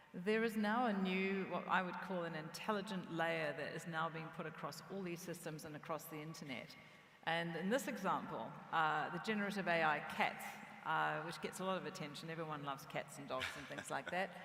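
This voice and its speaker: A woman speaks at a fairly quick pace in a fairly low pitch with ordinary pitch variation. Room echo is audible. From New Zealand. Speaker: tech company CEO. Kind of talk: conference stage interview.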